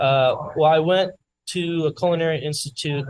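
A man talks with a somewhat breathy quality and ordinary pitch variation. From South Florida. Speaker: bakery owner. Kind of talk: casual interview. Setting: in his bakery with customers.

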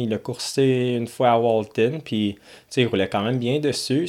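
This man has a plain, everyday voice. He speaks at a moderate pace with fairly even intonation. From Ontario, Canada. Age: 20s. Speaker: professional motocross racer. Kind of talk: casual interview. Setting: studio.

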